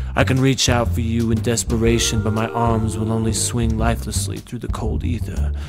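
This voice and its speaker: Over music in the background, a man talks at a fairly quick pace with hardly any pauses. His voice sits fairly low and makes very wide pitch swings. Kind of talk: poetry reading.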